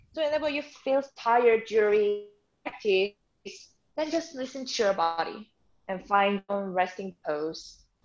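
A woman in a Korean accent, fairly high-pitched with very wide pitch swings, at a fairly slow pace with long, frequent pauses against a quiet background. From South Korea. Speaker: yoga teacher. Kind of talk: guided yoga class. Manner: slow, calm instruction. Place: home room.

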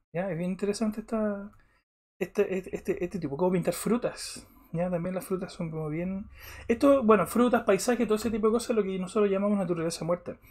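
A man speaks with a Chilean accent at a fairly quick pace. The background is quiet. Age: 40s. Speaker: art teacher. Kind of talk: online class. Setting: live stream. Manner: halting. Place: home room.

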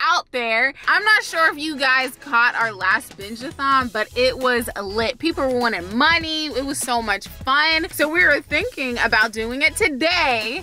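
A woman's raised, projected voice at a fairly slow pace, dry with no echo, over faint music in the background. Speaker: vlogger. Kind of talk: casual vlog chat. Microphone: phone near.

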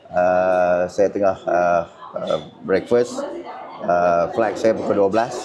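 Against noticeable background noise, a man with a very deep, low voice speaks at a very slow pace, with long, frequent pauses, fairly even intonation and very even loudness. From northern Malaysia. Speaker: political content creator and party candidate. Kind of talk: casual vlog monologue. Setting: airport. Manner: halting, filler-heavy.

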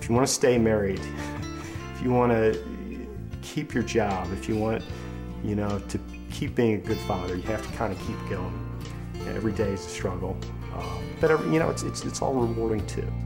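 Clear background music behind a man talking at a fairly quick pace. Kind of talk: interview answer. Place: home room.

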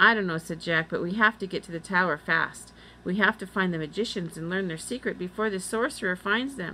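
The pitch varies in an ordinary way as someone reads in an unforced reading voice.

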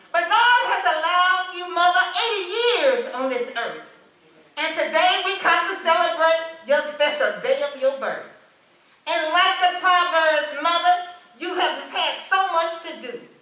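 A raised, projected voice with big swings in loudness carries through audible room echo. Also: woman, extremely high pitch for a woman. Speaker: church member giving tribute. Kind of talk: reading aloud a tribute poem.

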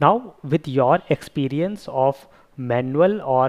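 The speaker is a man with ordinary pitch variation. The background is quiet. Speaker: software testing educator. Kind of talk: tutorial. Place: home room. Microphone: headset.

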